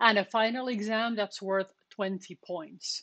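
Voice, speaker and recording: A woman with a non-native accent speaks at a fairly high pitch over a quiet background. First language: not English. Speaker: university programming lecturer. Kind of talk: lecture. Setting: live stream on Twitch and Discord voice channel.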